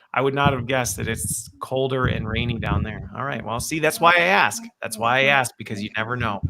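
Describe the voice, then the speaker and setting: Using a medium pitch and ordinary pitch variation, a man speaks at a fairly quick pace with hardly any pauses. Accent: American. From United States. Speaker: podcast host. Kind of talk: casual chat. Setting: live video stream. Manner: animated.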